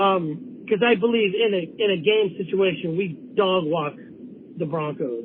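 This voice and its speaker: A man with a high voice speaks at a fairly slow pace, his intonation lively. Noticeable background noise runs beneath him. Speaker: caller to a sports call-in show. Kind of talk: casual chat. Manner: rambling, informal.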